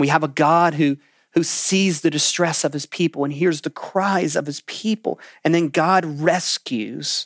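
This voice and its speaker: Using an ordinary speaking voice, a man speaks fairly slowly in a fairly high pitch with fairly even intonation, in a very clean recording with a silent background and a dry, close sound with no echo. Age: 40s. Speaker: pastor. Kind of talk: sermon. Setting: room preaching to a camera, livestream.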